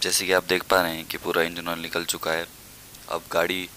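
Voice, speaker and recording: A man speaks at a moderate pace in a very deep, low voice, flat and monotone. The sound is dry with no echo, over light background noise. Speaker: home mechanic vlogger. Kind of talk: tutorial. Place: garage.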